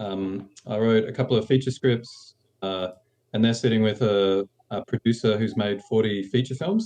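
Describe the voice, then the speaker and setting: A man with a dark, mellow tone talks at a moderate pace and medium pitch, using ordinary pitch variation. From Australia. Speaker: screenwriter. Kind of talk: interview.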